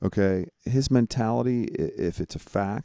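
A man's fairly low voice, dark and mellow in tone, with ordinary pitch variation at a moderate pace. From New York. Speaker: podcast co-host and youth sports coach. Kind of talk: casual chat.

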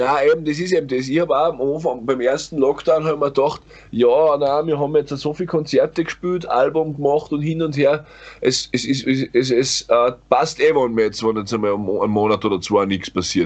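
A man with an ordinary speaking voice, fairly high pitch, ordinary pitch variation and a moderate pace. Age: 30s. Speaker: metal band vocalist. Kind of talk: casual chat.

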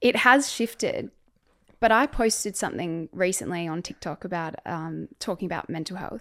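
A woman with an Australian accent speaks at a moderate pace with lively intonation and big swings in loudness. The recording is very clean, with a silent background. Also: medium pitch for a woman. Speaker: podcast host. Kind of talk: interview.

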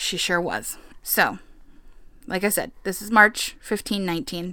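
Loud and bright with a sharp tone, a woman speaks with ordinary pitch variation on a very clean recording with a silent background. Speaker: podcast co-host. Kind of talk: casual chat with storytelling.

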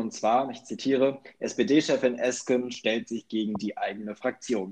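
The man has an unremarkable speaking voice. His pitch is medium, with ordinary pitch variation. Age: 20s. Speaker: student podcast co-host. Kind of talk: casual political discussion. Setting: remote recording.

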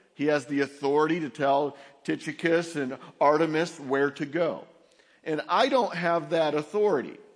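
The man speaks at a moderate pace with fairly high pitch. His intonation stays fairly even. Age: 50s. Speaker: pastor. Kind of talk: sermon. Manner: halting.

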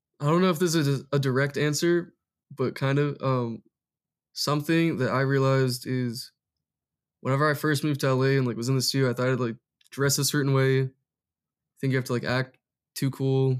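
A man with an American accent talks at a fairly quick pace and medium pitch, with fairly even intonation and very even loudness. His long, frequent pauses sit on a very clean recording with a silent background. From Massachusetts, US. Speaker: music producer. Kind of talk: casual interview chat.

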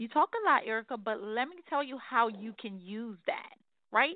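A woman with an ordinary speaking voice talks at a moderate pace with a fairly high pitch and ordinary pitch variation. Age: 40s. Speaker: spiritual life coach and author. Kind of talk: casual interview, faith testimony.

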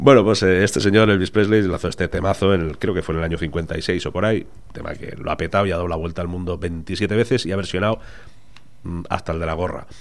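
Very deep and low, a man's voice comes through. He speaks at a very fast pace. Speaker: podcast host. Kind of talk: casual chat. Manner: animated.

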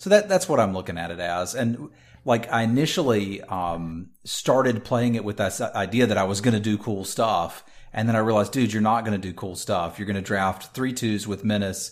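A man's normal speaking voice, fairly low in pitch with ordinary variation, at a moderate pace on a very clean recording with a silent background. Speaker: podcast co-host and game streamer. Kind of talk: casual chat.

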